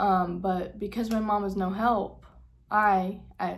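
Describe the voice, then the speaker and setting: A woman speaks very slowly at a medium pitch in a flat monotone. The room echo is audible. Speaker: vlogger. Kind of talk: casual vlog talk. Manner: halting, with fillers.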